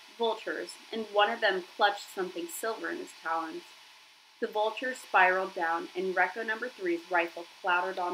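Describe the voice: The speaker is reading aloud. It is plain reading aloud.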